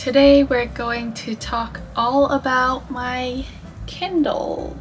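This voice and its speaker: Music plays in the background while a woman speaks at a very slow pace. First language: not English. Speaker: book YouTuber. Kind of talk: casual talk to camera.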